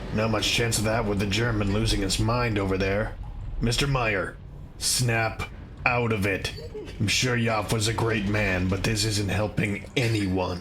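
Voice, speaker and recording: Over loud background noise, a man puts on a fairly low-pitched character voice. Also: moderate pace. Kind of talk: audio drama performance. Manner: sarcastic, tense.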